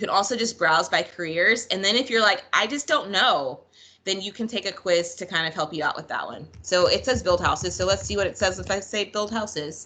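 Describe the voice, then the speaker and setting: Her tone bright and sharp, a woman talks at a fairly quick pace. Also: ordinary pitch variation. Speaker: school counselor; presenter. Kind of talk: online presentation. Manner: fast. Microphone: video call.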